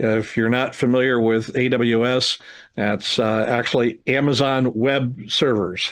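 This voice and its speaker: A man delivers his words at a very slow pace, his pitch medium and his intonation fairly even. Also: quiet background. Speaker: amateur radio division director. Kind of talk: club presentation update. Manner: casual with many fillers.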